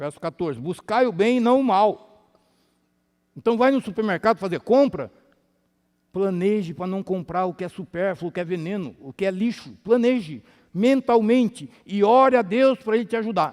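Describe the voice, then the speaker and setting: A man with a high pitch and lively intonation at a moderate pace, a dry, close sound with no echo, very clean recording with a silent background. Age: 60s. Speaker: health lecturer. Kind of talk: sermon-style health lecture. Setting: church with audience. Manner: animated.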